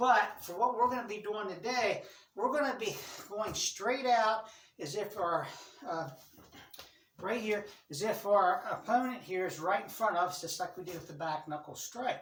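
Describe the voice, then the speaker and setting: Amid audible room echo, a woman at a medium pitch talks at a moderate pace with lively intonation, big swings in loudness, and long, frequent pauses. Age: 60s. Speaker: martial arts instructor. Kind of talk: tutorial. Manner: casual, repetitive instructional pacing.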